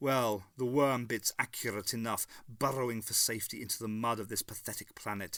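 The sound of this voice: The intonation holds fairly even. It is an unforced reading voice.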